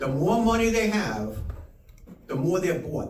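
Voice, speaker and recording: Audible room echo surrounds a man whose voice moves in very wide pitch swings. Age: 70s. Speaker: political candidate. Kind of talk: campaign speech. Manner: halting, repeats words.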